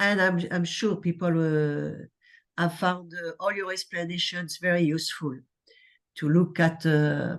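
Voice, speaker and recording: The speaker talks at a fairly slow pace with a French accent. The background is quiet. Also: woman. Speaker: lecture moderator. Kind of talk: Q&A moderation.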